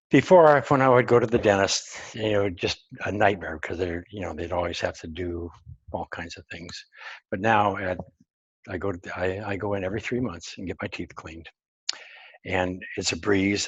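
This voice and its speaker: A man speaks with a very deep, low voice and ordinary pitch variation. His loudness swings widely, and his voice is somewhat breathy. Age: 70s. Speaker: grounding product founder. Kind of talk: interview. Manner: halting.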